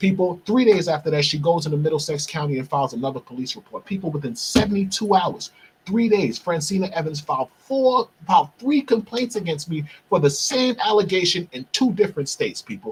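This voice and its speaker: A man with a New York accent speaks at a fairly quick pace in a high pitch. His tone is animated, and his pitch swings very widely. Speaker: podcast host. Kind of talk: monologue. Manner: fast.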